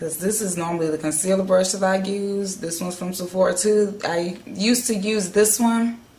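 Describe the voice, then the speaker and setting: A woman talks at a medium pitch and a fairly quick pace, with ordinary pitch variation. Room echo is audible, along with noticeable background noise. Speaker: beauty vlogger. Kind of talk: tutorial.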